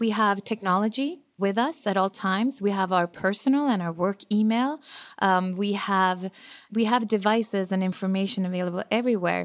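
Speaking at a moderate pace, a woman with a Swedish accent uses a medium pitch. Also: ordinary pitch variation, very clean recording, silent background. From Sweden. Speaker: business owner. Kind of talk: interview.

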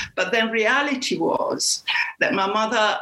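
At a fairly slow pace, a woman talks in a fairly high voice. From Puglia, southern Italy. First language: Italian. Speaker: cookbook author. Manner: halting, repeats words.

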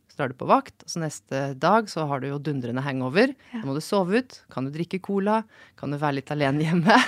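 A woman's very deep, low voice, fairly quick, with lively intonation and big swings in loudness, in a dry, close sound with no echo. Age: 40s. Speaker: senior physician. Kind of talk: casual chat. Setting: studio.

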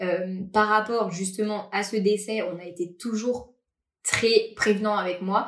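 A woman's medium-pitched, monotone, flat delivery at a very slow pace. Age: 20s. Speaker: podcast guest sharing personal story. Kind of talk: personal testimony interview. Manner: casual, hesitant with many fillers.

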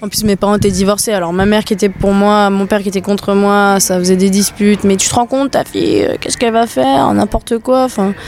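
A woman talks very fast at a medium pitch, with hardly any pauses and very even loudness. Noticeable background noise sits behind her. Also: ordinary pitch variation. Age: 20s. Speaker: dancer. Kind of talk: casual chat. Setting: outdoors.

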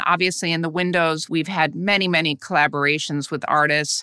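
In a very clean recording with a silent background and a dry, close sound with no echo, a woman with an American accent speaks in a bright, sharp tone with ordinary pitch variation. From US Midwest. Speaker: fashion retail executive. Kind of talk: interview.

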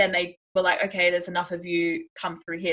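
With an Australian accent, a woman talks at a fairly quick pace in a fairly low pitch, her tone bright and sharp and her intonation monotone and flat. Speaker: podcast co-host and expat. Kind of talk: casual chat.

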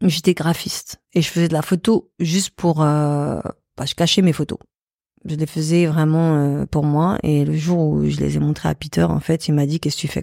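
A woman speaks with a very deep, low pitch and a dark, mellow tone at a fairly slow pace. Her intonation is monotone and flat, in a dry, close sound with no echo, a very clean recording and a silent background. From Paris, France. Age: 40s. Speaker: photographer and artist. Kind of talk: interview. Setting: studio.

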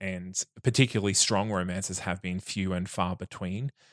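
Very deep and low in pitch, a man speaks with monotone, flat intonation in a very clean recording with a silent background. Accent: Australian. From Australia, regional Queensland (Bundaberg). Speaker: podcast guest sharing personal experience. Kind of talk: casual interview chat.

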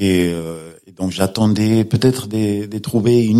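The speaker is a man with a fairly low pitch. His tone is dark and mellow. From Spain. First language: Spanish (speaking French). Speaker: law professor and novelist. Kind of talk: radio interview. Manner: halting, with fillers and repetitions.

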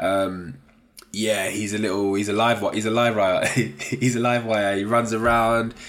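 A man's medium-pitched voice with a London accent, fairly even intonation and a fairly slow pace, with audible room echo. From South East London. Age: 30s. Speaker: podcast host, freelance data analyst. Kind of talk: casual solo podcast monologue. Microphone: sounds a bit muffled.

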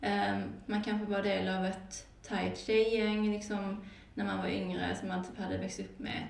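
Noticeable background noise and audible room echo are present. Through them, a woman talks at a fairly slow pace. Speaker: podcast host. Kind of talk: casual chat. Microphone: sounds muffled, sat behind the microphone.

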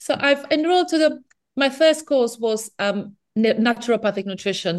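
Someone with a non-native accent talks at a fairly quick pace. The background is quiet. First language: not English. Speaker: nutritional therapist. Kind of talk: interview.

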